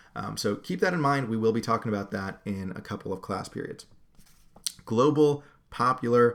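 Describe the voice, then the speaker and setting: A man's normal speaking voice in an American accent, medium in pitch with ordinary variation, at a fairly quick pace. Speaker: history teacher. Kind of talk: lecture. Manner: casual with many fillers.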